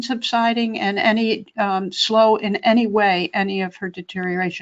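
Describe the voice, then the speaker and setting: A woman with a plain, everyday voice speaks at a moderate pace, her fairly high pitch carried in fairly even intonation. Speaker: Medicare advocacy expert. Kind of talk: webinar Q&A advice. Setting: webinar.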